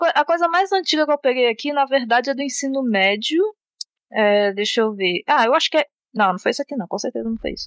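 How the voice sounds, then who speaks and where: With lively intonation and a high pitch, a woman talks at a very fast pace. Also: dry, close sound with no echo. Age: 20s. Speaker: software developer. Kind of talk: casual chat.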